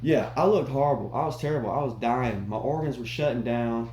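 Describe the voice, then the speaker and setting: A man speaks at a fairly quick pace amid audible room echo and noticeable background noise. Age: 30s. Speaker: fitness vlogger. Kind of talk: casual workout vlog. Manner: monotone.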